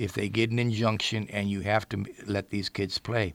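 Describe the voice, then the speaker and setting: On a very clean recording with a silent background, a man with an American accent talks at a moderate pace. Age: 60s. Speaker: retired school principal and football coach. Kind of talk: casual interview. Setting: radio studio.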